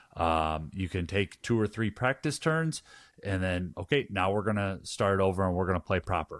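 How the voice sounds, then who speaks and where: A man with a Wisconsin accent speaks at a moderate pace in a very deep, low pitch. His loudness stays very even, and the sound is dry and close with no echo. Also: lively intonation, very clean recording, silent background. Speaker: board game podcast co-host. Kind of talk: casual review chat. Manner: halting, many repeated words.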